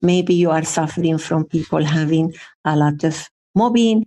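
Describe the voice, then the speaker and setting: Her voice is fairly low with a dark, mellow tone, as the woman speaks at a fairly slow pace with ordinary pitch variation. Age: 60s. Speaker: breathwork therapist and psychotherapist. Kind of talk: interview. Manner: halting.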